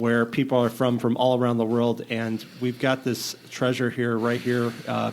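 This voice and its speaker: Against noticeable background noise, a man of medium pitch talks at a moderate pace with hardly any pauses and monotone, flat intonation. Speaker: podcast host. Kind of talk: interview questions.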